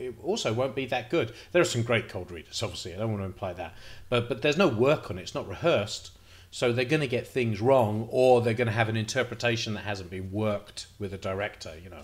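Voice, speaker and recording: Talking at a very fast pace, a man with a somewhat breathy voice shows ordinary pitch variation and big swings in loudness. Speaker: playwright vlogger. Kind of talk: casual vlog chat. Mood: reflective, slightly nervous. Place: home room. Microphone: studio mic.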